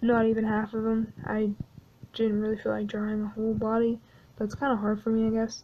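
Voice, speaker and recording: A woman speaks fairly quickly in a fairly high voice with a dark, mellow tone. Her intonation is monotone and flat, and her loudness stays very even. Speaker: artist narrating drawing video. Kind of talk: casual voice-over narration. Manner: hesitant, many fillers.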